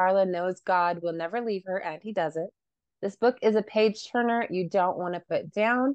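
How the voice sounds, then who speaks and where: A normal speaking voice moves at a moderate pace with ordinary pitch variation. The sound is dry and close with no echo, over a quiet background. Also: woman. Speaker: podcast co-host and author. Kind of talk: casual interview.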